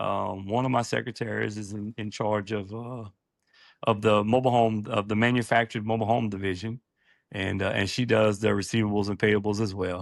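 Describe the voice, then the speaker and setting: On a very clean recording with a silent background, a man with a Louisiana accent speaks at a fairly quick pace in a fairly low pitch, his intonation monotone and flat. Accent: country Louisiana. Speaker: septic business owner. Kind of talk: interview conversation. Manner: halting, many fillers.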